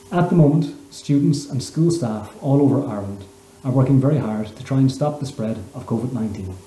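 A man talks at a moderate pace with ordinary pitch variation and big swings in loudness. Room echo is audible, and there is light background noise. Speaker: primary school teacher. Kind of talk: promotional message to camera. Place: home room. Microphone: webcam.

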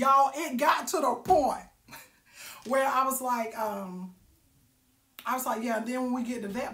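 An animated woman's voice with ordinary pitch variation and audible room echo. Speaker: live-stream vlogger. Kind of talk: casual storytelling monologue. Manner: loud. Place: home room. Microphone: phone near.

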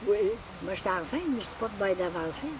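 A woman's voice with very wide pitch swings at a moderate pace, dry with no echo, over light background noise. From Quebec. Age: 80s+. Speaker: elderly relative sharing family memories; elderly storyteller. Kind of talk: casual storytelling. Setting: cottage. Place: forest.

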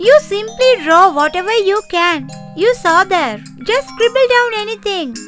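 Over clear music in the background, a cartoonish character voice at extremely high pitch moves at a moderate pace with very wide pitch swings. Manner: encouraging, upbeat.

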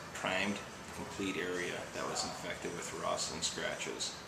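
A soft-spoken man talks at a moderate pace over loud background noise. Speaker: auto glass installer. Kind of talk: casual demonstration talk to camera. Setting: auto shop. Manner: quiet, soft-spoken. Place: garage. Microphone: phone near.

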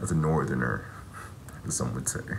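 A man speaks with light background noise present. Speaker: travel vlogger. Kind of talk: casual vlog chat. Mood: reflective, a bit bittersweet. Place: home room. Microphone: phone near.

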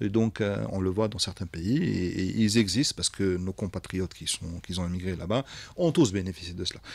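The speaker is a man. He talks fairly slowly. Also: dry sound with no echo. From Algeria. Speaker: tech company executive; radio guest. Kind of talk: radio interview. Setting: live radio studio. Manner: hesitant, many fillers. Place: studio. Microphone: studio mic.

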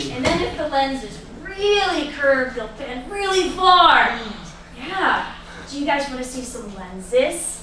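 A woman's raised, projected voice at a fairly slow pace, with audible room echo and light background noise. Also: big swings in loudness. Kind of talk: lively science presentation to audience. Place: stage. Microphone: camera far.

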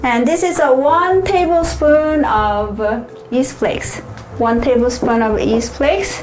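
A woman's high-pitched voice at a fairly slow pace, faint music behind her. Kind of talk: cooking tutorial. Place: kitchen.

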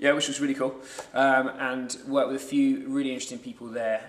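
A man is speaking in a room with audible echo. Light background noise is present. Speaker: guest. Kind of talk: interview answer. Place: gym.

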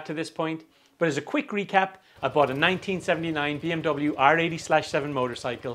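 Speaking at a very fast pace, the man shows ordinary pitch variation. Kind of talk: tutorial. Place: workshop. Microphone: lapel.

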